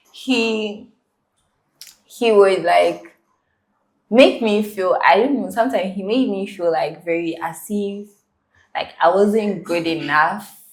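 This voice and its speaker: A woman speaks very slowly at a medium pitch, with ordinary pitch variation, long and frequent pauses, and audible echo in the room. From Ghana, with childhood years in South Africa. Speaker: university student and content creator. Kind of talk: interview.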